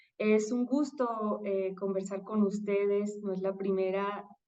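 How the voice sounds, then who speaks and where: At a fairly slow pace, a woman speaks in a medium pitch with a dark, mellow tone and monotone, flat intonation, with audible room echo around her. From Mexico. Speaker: political scientist and professor. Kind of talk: interview conversation.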